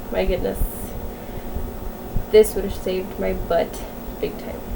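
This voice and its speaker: Noticeable background noise sits behind this woman's voice. She speaks at a moderate pace with a fairly high pitch. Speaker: vlogger sharing medical diagnosis. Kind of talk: casual vlog. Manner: monotone.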